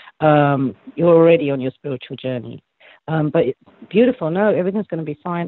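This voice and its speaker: Talking at a very fast pace, a man with an English accent has a fairly high pitch. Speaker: psychic reader. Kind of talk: spiritual reading.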